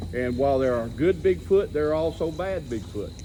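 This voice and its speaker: A man's fairly high voice with very wide pitch swings at a fairly quick pace, set against noticeable background noise. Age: 60s. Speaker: Bigfoot researcher and author. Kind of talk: talk to a seated audience.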